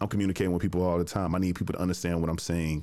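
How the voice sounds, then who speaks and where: This man's voice sits very deep and low. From US South, Jackson, Tennessee. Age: 20s. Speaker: podcast host and producer. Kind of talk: casual interview chat. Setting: remote call.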